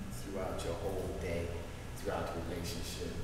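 A man speaks in a room with strong echo, and noticeable background noise is audible behind him. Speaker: couples ministry group leader. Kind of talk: group discussion. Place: hall. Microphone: camera far.

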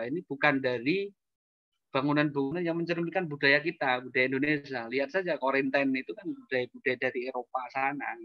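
Against a quiet background with a dry sound and no echo, a man talks at a fairly quick pace with ordinary pitch variation. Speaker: architect. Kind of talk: presentation with slides. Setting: video call. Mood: concerned in closing part. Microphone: bad connection, keeps cutting out; video call.

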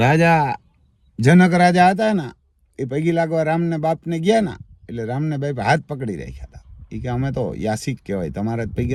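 Very wide pitch swings mark a man's speech. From Gujarat, Barda region (Saurashtra). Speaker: farmer. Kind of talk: casual chat.

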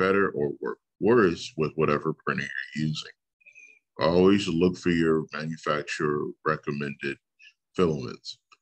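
A man's voice, at a moderate pace, comes over a quiet background. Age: 40s. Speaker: teacher. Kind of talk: tutorial. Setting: screen-share video lesson. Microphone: webcam.

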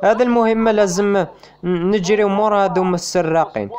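A man with an Algerian accent speaks at a moderate pace over music in the background. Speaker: gaming YouTuber. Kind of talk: casual gameplay commentary.

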